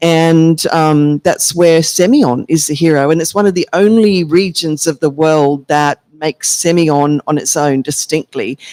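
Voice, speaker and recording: Spoken with an Australian accent at a moderate pace, the delivery has hardly any pauses. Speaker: Australian wine expert. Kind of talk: casual chat.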